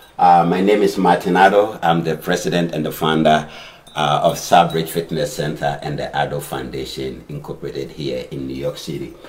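Over noticeable background noise, a man with a very deep, low pitch speaks at a moderate pace, his intonation fairly even but his loudness swinging widely. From Africa. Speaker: fitness center owner. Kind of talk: casual panel discussion. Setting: studio. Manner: formal.

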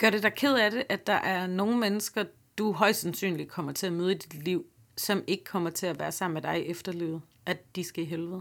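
A woman with an ordinary speaking voice, a fairly quick pace and ordinary pitch variation. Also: medium pitch for a woman, very clean recording, silent background. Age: 30s. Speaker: comedian and podcast host. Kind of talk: interview conversation.

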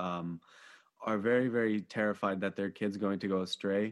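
At a moderate pace, a plain, everyday voice talks with ordinary pitch variation. There is no background sound at all, and the recording is very clean. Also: man. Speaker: podcast host. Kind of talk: casual interview.

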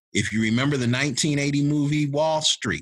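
This man has a normal speaking voice with a fairly high pitch. He talks at a fairly slow pace. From Ohio, Shaker Heights near Cleveland. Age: 50s. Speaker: pastor. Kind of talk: interview conversation.

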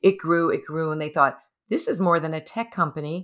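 An unremarkable speaking voice with an American accent and ordinary pitch variation comes through in a very clean recording with a silent background. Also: woman. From New York City. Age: 60s. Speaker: life coach and gerontologist. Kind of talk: interview.

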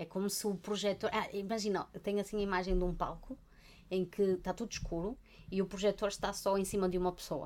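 Speaking very fast in a European Portuguese accent, a woman keeps a medium pitch and a flat, monotone intonation. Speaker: podcast co-host, art therapist. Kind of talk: casual chat.

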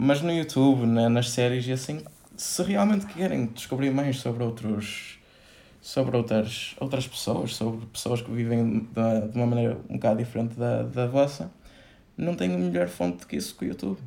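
A man talks at a moderate pace in an unremarkable speaking voice. His pitch is medium and his intonation is lively. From northern Portugal. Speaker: podcast guest. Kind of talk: casual interview.

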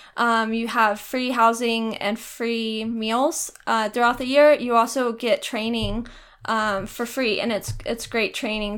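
At a fairly slow pace, a woman with an American accent talks in an ordinary speaking voice at a fairly high pitch, on a very clean recording with a silent background. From Texas. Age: 20s. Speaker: college student. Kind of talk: casual interview.

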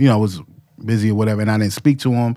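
The speaker is a man whose voice sits fairly low. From New York City (Harlem). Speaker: hip-hop producer. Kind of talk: casual chat.

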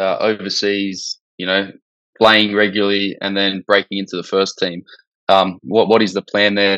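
Fairly low, bright and sharp male voice in a flat monotone, moderate pace, dry close sound with no echo, quiet background. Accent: Australian. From Australia. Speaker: football podcast co-host. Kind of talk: casual chat.

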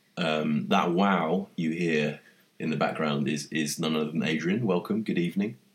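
A man in a London accent with very deep, low pitch, very even loudness and a moderate pace. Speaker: podcast host. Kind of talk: casual chat.

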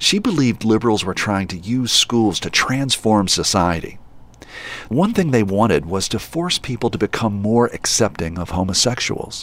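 In a normal speaking voice, the speaker talks at a moderate pace with lively intonation. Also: man, medium pitch for a man. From West Virginia, Charleston. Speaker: podcast host. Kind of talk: narrated documentary podcast.

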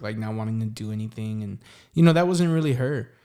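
A man speaks at a fairly quick pace with a San Antonio accent. His voice sits at a medium pitch and has a dark, mellow tone. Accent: Texan, San Antonio. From San Antonio, Texas. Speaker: singer-songwriter. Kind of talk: casual interview chat.

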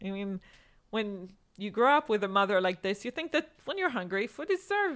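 Using an Israeli accent, a woman speaks at a medium pitch and a fairly quick pace with lively intonation. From Israel (born in Boston, raised in Tel Aviv). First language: Hebrew. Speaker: chef and food journalist. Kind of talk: interview conversation.

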